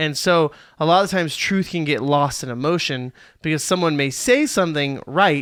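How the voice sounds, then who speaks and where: In a very clean recording with a silent background, a man with an unremarkable speaking voice talks at a fairly high pitch and a moderate pace with ordinary pitch variation. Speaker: podcast host. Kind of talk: casual chat.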